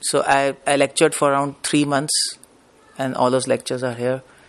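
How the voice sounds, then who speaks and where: A man is talking with an Indian accent. His pace is fairly quick. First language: Hindi. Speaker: spiritual preacher. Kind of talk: lecture. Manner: fast.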